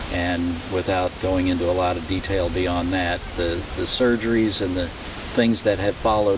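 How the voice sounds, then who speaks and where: Amid noticeable background noise and audible room echo, a man with an American accent speaks at a fairly slow pace in a very deep, low pitch with monotone, flat intonation. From Ohio. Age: 60s. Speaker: retiree telling life story. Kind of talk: life story interview. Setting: outdoors on a driveway. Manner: halting, frequent self-corrections.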